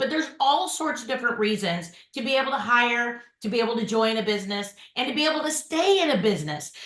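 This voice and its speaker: A woman with a Southern US accent speaks loudly at a high pitch with very wide pitch swings, amid audible room echo. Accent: Southern drawl, fast but clearly pronounced. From Memphis, Iowa, Wisconsin, then Dallas from age 15. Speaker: podcast host and insurance agency owner. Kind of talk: podcast interview. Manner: fast; loud, hard consonants.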